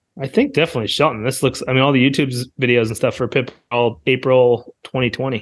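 In a plain, everyday voice, a man talks at a fairly quick pace and medium pitch with fairly even intonation. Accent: American. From North County, San Diego, California. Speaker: podcast co-host and realtor. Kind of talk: casual chat.

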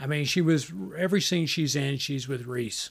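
A man with a somewhat breathy voice talks with ordinary pitch variation. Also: very clean recording, silent background. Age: 50s. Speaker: podcast host, movie reviewer. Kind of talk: casual chat.

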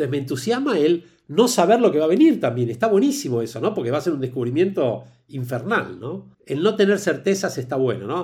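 Pitched fairly high, a man speaks at a fairly quick pace with a Rioplatense accent and very wide pitch swings. The recording is very clean with a silent background. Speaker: HR consultant and executive coach. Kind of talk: casual interview.

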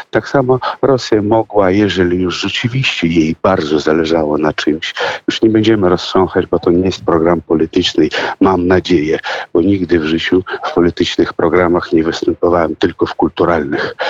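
The speech comes at a moderate pace with ordinary pitch variation, in a dry, close sound with no echo but noticeable background noise. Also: man, very deep, low pitch for a man. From Russia. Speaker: singer and actor. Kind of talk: radio interview. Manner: halting.

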